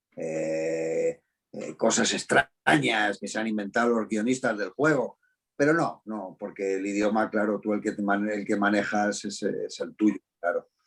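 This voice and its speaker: In a normal speaking voice, a man talks fairly slowly and fairly low, with ordinary pitch variation. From Spain, Madrid. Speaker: voice actor and dubbing director. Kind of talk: interview. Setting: video call.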